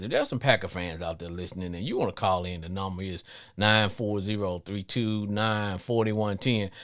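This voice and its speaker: Talking at a fairly quick pace, a man with a slight Louisiana accent has a fairly low pitch. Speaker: sports podcast host. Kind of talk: live call-in show monologue. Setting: live stream.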